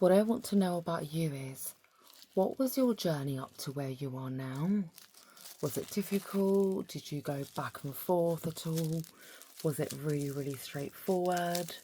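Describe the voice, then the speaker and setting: A woman speaks in a calm tone at a very deep, low pitch. Her pace is fairly slow, with ordinary pitch variation. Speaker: psychotherapist and Reiki practitioner who makes ASMR videos. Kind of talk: soft-spoken ASMR talk to camera. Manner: soft-spoken, calm, intimate.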